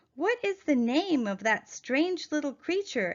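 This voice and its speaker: A woman puts on a character voice, high-pitched, with very wide swings in pitch and a fairly slow pace. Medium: read story.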